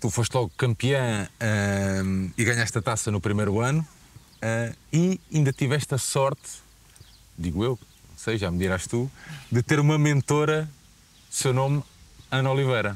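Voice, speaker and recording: The speaker talks at a fairly slow pace with lively intonation and long, frequent pauses, in a dry sound with no echo. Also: man, medium pitch for a man. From Portugal. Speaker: sports channel interviewer; interviewer. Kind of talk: interview. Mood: relaxed, friendly. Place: open country. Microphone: lapel.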